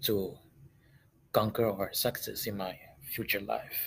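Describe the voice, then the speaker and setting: The man's delivery is very slow. He has a non-native accent. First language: not English. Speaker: student podcaster. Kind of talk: solo monologue. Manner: halting.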